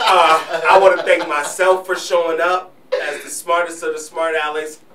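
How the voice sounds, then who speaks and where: A high-pitched man at a moderate pace, flat and monotone in intonation, over noticeable background noise. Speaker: podcast and radio host. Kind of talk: casual chat.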